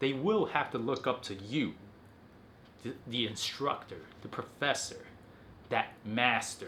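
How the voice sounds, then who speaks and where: With vocal fry and a bright, sharp tone, a man of medium pitch speaks at a fairly slow pace, using lively intonation and long, frequent pauses. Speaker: self-improvement video host. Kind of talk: motivational talk to camera. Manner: articulate, enunciating every syllable.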